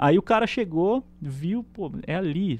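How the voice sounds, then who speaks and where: A man speaks with very wide pitch swings. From Brazil, interior of São Paulo (Penápolis). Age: 20s. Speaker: electronic security specialist. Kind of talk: casual chat.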